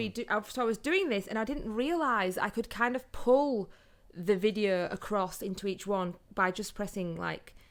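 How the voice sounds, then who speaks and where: A woman of medium pitch speaks at a moderate pace with a Yorkshire accent and ordinary pitch variation. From northern England, Yorkshire (Huddersfield). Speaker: photographer and social media business owner. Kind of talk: casual chat.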